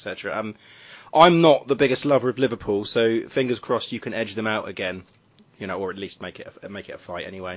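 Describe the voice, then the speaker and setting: At a fairly quick pace, a man uses a normal speaking voice at a medium pitch with ordinary pitch variation. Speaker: podcast host. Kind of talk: casual chat.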